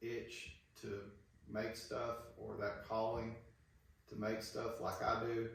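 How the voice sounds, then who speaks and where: With an Alabama accent, a man speaks at a fairly low pitch amid audible room echo and noticeable background noise. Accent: Southern US (Alabama). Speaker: woodworking YouTuber. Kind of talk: casual tutorial talk.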